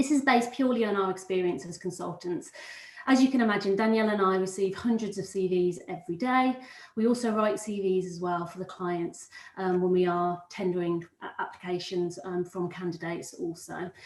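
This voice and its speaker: A woman speaks fairly quickly at medium pitch with ordinary pitch variation. She has a slight Brummie accent. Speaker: recruitment consultant. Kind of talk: webinar presentation. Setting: live webinar.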